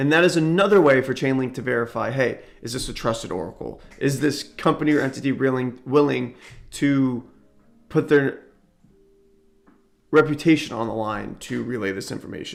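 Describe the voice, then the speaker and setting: Talking at a moderate pace and a medium pitch, a man shows ordinary pitch variation, big swings in loudness and long, frequent pauses. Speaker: crypto content creator. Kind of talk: tutorial. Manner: reading aloud with explanations; occasional stumbles and fillers.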